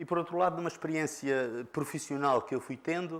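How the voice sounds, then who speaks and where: With a Lisbon accent, the speaker talks at a moderate pace. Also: man. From Portugal, Lisbon. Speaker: conference speaker, former engineer. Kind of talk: conference presentation. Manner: halting, many filler sounds.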